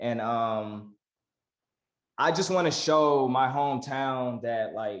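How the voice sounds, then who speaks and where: With an American accent, the speaker talks very slowly with ordinary pitch variation and long, frequent pauses. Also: man, medium pitch for a man. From northern Louisiana, small town. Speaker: hip-hop artist and navy sailor. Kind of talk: interview. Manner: casual, slangy.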